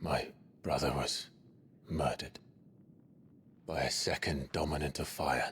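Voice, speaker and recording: A man in a put-on character voice speaks at a very deep, low pitch, leaving long, frequent pauses. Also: moderate pace, very even loudness. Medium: video game. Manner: terse, brooding.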